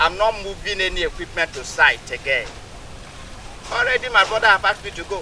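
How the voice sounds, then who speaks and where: Over noticeable background noise, a man speaks at a fairly quick pace with long, frequent pauses. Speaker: construction engineer. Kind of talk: public address to community.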